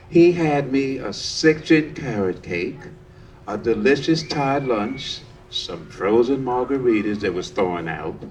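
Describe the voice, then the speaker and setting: A man's medium-pitched voice with an American accent, lively intonation and a fairly slow pace, amid audible room echo and noticeable background noise. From New York City. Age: 70s. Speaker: storytelling workshop participant. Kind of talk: personal storytelling performance. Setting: outdoor park stage with audience.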